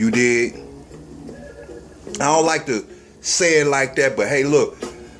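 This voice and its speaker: A man's moderate-paced speech with ordinary pitch variation over music in the background. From US Midwest, Gary, Indiana. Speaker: YouTube commentator. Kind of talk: social commentary vlog. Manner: casual, conversational.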